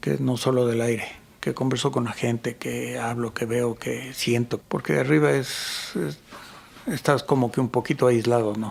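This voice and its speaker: A man's medium pitch amid noticeable background noise. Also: lively intonation, moderate pace. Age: 60s. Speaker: photographer and mountain guide. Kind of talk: casual interview conversation.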